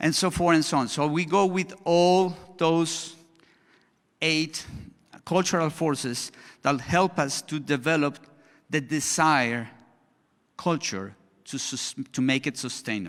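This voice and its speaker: Recorded very cleanly against a silent background, the speaker talks at a fairly slow pace with a Spanish accent, ordinary pitch variation, and long, frequent pauses. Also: man, fairly high pitch for a man. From Colombia. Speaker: education consultant, conference speaker. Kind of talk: conference presentation. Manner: halting, with restarts and fillers.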